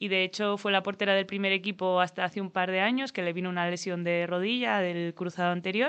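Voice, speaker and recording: Talking at a very fast pace, a woman hardly pauses at all. Her pitch is medium and her intonation fairly even. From Spain, Asturias (Gijón). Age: 30s. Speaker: roller hockey player. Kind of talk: interview. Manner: halting.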